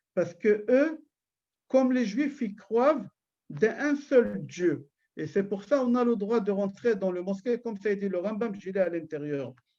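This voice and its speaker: Dark, mellow male voice pitched high, against a quiet background. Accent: Israeli. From Israel. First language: Hebrew (speaking French). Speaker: rabbi. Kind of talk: religious lecture. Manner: loud and firm; halting, repeats words.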